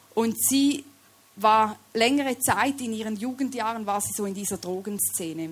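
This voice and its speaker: With a Swiss German accent, a woman speaks very slowly in a fairly high, somewhat breathy voice with ordinary pitch variation. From Switzerland. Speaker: lay preacher. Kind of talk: sermon.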